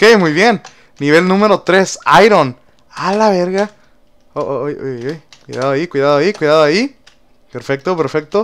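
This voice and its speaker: A man with a high pitch talks at a moderate pace, with long, frequent pauses. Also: lively intonation. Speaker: gaming youtuber. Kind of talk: gameplay commentary. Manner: animated.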